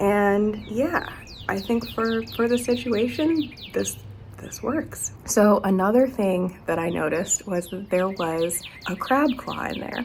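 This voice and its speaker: Over noticeable background noise, a woman speaks at a very slow pace in a medium pitch with lively intonation. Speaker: gardening vlogger. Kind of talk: casual vlog talk.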